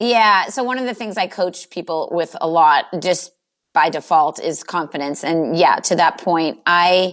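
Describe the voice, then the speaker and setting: A woman with a Boston accent and a fairly low pitch, speaking fairly slowly on a very clean recording with a silent background. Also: ordinary pitch variation. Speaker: business coach. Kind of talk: interview.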